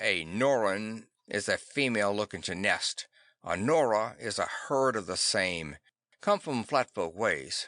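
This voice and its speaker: Over a quiet background, a man puts on a raspy character voice at medium pitch, with lively intonation and a fairly slow pace. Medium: read story. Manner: clipped, odd frontier idiom; soft-spoken.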